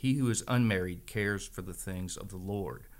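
This man's voice sits very deep and low, with ordinary pitch variation. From northern Virginia, Shenandoah Valley. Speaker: church member sharing his story. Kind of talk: testimony.

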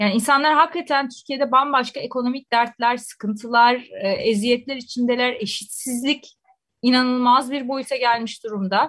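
Her voice is high-pitched for a woman. She keeps her intonation fairly even. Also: moderate pace. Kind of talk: radio discussion. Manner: hesitant with many fillers.

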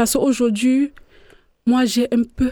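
Fairly slow and fairly high in pitch, a woman's dark, mellow voice comes through dry and close with no echo. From Cameroon. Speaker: migrant, community participant. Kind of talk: radio panel discussion.

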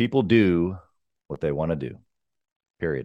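Lively intonation from a male speaker, set over a quiet background. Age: 30s. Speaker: entrepreneur and business mentor. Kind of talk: interview.

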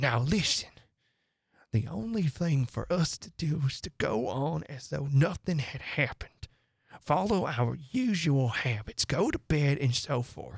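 Putting on a character voice, a man speaks fairly slowly at a fairly high pitch, with big pitch swings, vocal fry and a slightly husky edge.

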